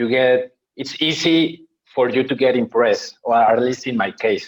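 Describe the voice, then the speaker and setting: With a Spanish accent, a man speaks at medium pitch and a moderate pace with fairly even intonation. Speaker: podcast host. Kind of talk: podcast interview. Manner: halting.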